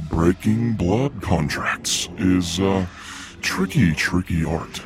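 A man's put-on character voice, very deep and low, at a very slow pace with clear music in the background

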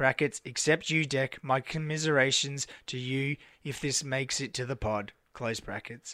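With an Australian accent, a man speaks with fairly even intonation. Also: medium pitch for a man, moderate pace. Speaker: podcast host. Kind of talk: casual chat.

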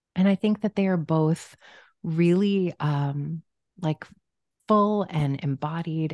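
A woman speaks with an American accent against a quiet background. The sound is dry and close, with no echo. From US Midwest (Omaha, Nebraska). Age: 40s. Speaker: marriage and family therapist. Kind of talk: interview conversation.

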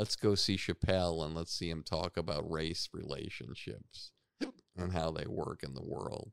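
A man's very deep, low voice with vocal fry and ordinary pitch variation, in a dry, close sound with no echo. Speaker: comedy manager. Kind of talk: casual chat. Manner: slow, sleepy.

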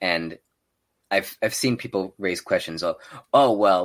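A man with an American accent speaks at a fairly low pitch on a very clean recording with a silent background. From Texas, El Paso. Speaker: former air force nuclear technician. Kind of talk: interview.

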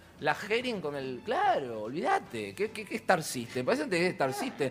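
With noticeable background noise around him, a man speaks at a moderate pace, his pitch swinging very widely. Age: 50s. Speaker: theatre producer and costume designer. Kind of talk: interview. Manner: animated.

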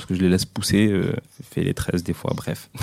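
Very deep and low, a man's dark, mellow voice moves at a moderate pace with fairly even intonation. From Mayotte. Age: 20s. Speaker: interviewee sharing personal story. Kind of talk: personal testimony. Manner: hesitant, many fillers.

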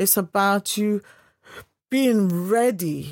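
Lively intonation in a dry, close sound with no echo. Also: woman, very clean recording, silent background. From Guyana. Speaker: media personality and mentor. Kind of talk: interview. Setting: studio.

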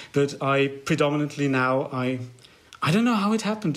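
A man with a German accent, fairly high pitch, lively intonation and a fairly quick pace. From Germany. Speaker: fan and amateur musician. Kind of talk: casual interview.

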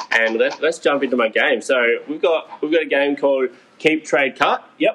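With an Australian accent, a man talks at a moderate pace in a fairly high pitch with ordinary pitch variation. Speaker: sports podcast co-host. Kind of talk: casual chat.

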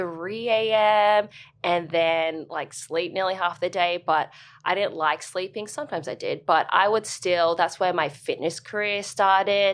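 A woman speaks with an Australian accent at medium pitch. Her pace is moderate and her pitch variation ordinary. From Australia, Brisbane. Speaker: dancer and fitness instructor. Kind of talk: interview.

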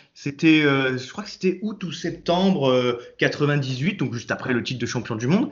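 Using a plain, everyday voice, a man speaks at a fairly slow pace in a fairly high pitch with lively intonation. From Nice, southern France. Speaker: football fan commentator. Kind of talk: casual chat.

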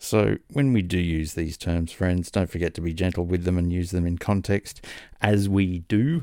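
A man speaks with an Australian accent at a moderate pace. His tone is dark and mellow. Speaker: podcast host. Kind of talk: casual interview chat. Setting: video call.

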